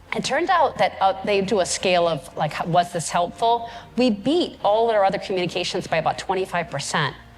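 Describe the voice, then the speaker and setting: A woman with a medium pitch and an energetic tone, lively intonation, a fairly quick pace and hardly any pauses, over noticeable background noise. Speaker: keynote speaker. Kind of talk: conference keynote. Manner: fast.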